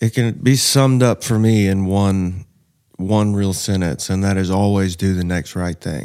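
A man with a Southern US accent, a dark, mellow tone and fairly low pitch, fairly even intonation at a moderate pace, in a very clean recording with a silent background. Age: 30s. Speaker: man in addiction recovery. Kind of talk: testimony.

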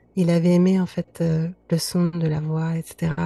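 The dry, close sound with no echo captures a woman whose fairly low, somewhat breathy voice has a dark, mellow tone. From Lebanon (Beirut). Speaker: singer-songwriter. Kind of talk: interview. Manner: hesitant, many fillers.

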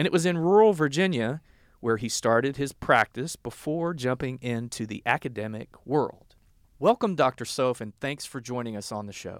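Over a silent background on a very clean recording, a man with a Southern US accent speaks at a moderate pace in a medium pitch with lively intonation, the sound dry and close with no echo. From US South, southern Arkansas. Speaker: podcast host, health policy director. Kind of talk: interview podcast.

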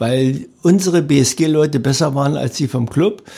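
A man speaks at a fairly slow pace with a fairly high pitch and ordinary pitch variation. His tone is dark and mellow, and somewhat breathy. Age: 70s. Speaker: retired athlete and sports event organizer. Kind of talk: interview.

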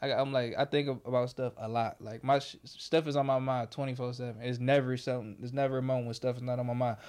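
Speaking at a very fast pace in a medium pitch, a man keeps a monotone, flat intonation in a very clean recording with a silent background. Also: hardly any pauses. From Detroit, Michigan. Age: 20s. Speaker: filmmaker. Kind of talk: casual chat.

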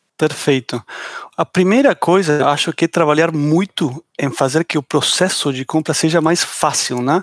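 A man's fairly high-pitched voice at a fairly slow pace, with ordinary pitch variation, in a very clean recording with a silent background. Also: dry, close sound with no echo. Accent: Argentine. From Argentina. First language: Spanish (speaking Portuguese). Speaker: tech startup founder and CEO. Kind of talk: podcast panel discussion.

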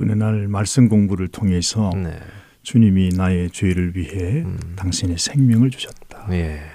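A man's very deep, low voice with a dark, mellow tone, ordinary pitch variation and a fairly slow pace. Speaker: Salvation Army officer and church council president. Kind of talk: radio interview testimony.

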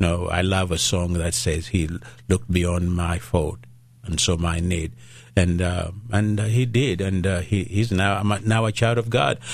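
A man speaks with a Ugandan accent in a very deep, low pitch. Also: ordinary pitch variation, moderate pace. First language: Luganda. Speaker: pastor. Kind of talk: radio interview. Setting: studio. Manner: halting, many fillers.

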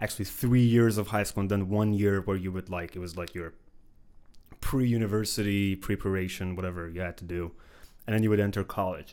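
A man's fairly low, fairly quick voice in an Iranian accent, with fairly even intonation, in a very clean recording with a silent background. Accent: Iranian (Persian). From Iran, Khuzestan (Ahvaz). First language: Persian (Farsi). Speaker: filmmaker and PhD student. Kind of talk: casual interview.

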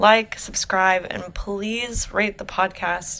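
A woman talks at a fairly slow pace, and noticeable background noise can be heard. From Oklahoma, US. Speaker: podcast host. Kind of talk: scripted intro; interview.

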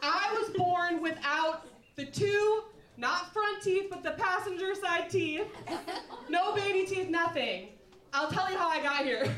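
Her pitch extremely high and its variation ordinary, a woman speaks at a fairly slow pace with audible room echo. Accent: American. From Minnesota. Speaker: musician and comedian. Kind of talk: live storytelling.

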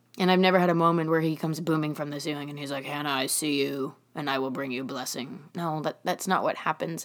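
A woman with a very deep, low voice talks at a very fast pace. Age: 20s. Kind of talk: casual faith talk monologue.

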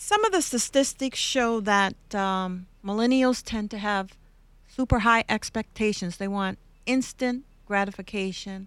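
A woman's fairly high, normal speaking voice at a fairly slow pace, fairly even in intonation, on a very clean recording with a silent background. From Canada. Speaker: podcast host, workplace commentator. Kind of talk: interview podcast.

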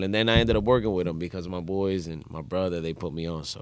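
A man talking at a very fast pace. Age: 30s. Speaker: merengue musician. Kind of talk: casual interview.

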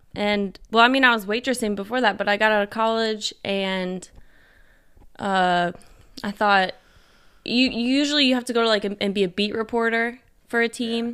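A woman with an American accent speaks at a fairly high pitch and a moderate pace, with fairly even intonation. She takes long, frequent pauses on a very clean recording with a silent background. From rural Indiana, Kentucky family. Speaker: guest. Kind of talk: casual chat.

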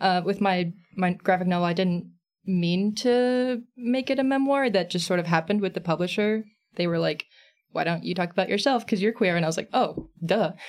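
A woman with an American accent speaks in a normal speaking voice at a medium pitch and a fairly quick pace. Her pitch varies in an ordinary way, and the recording is very clean with a silent background. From Texas, San Antonio. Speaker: comics creator and illustrator. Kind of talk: casual interview chat.

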